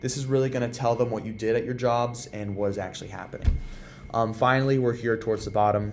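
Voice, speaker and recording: A man speaks at a fairly quick pace with fairly even intonation. Audible room echo surrounds his voice. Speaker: workplace tutorial presenter. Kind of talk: tutorial. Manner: fast; casual, with many fillers.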